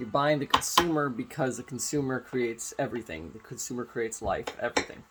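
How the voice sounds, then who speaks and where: The voice moves at a fairly quick pace with ordinary pitch variation. Music plays in the background. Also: man. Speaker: vlogger. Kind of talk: casual monologue.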